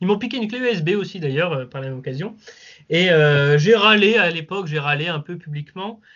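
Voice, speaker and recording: The loudness swings widely while the intonation stays lively. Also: man, high pitch for a man, fairly quick pace. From Lens area, northern France. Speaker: football fan channel creator. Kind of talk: casual chat.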